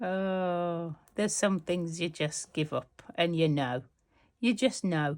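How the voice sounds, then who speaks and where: At a very slow pace, a woman with a Birmingham accent speaks at a fairly low pitch with ordinary pitch variation on a very clean recording with a silent background. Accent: Brummie. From Birmingham, England. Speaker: textile art youtuber. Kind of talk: casual tutorial. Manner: chatty.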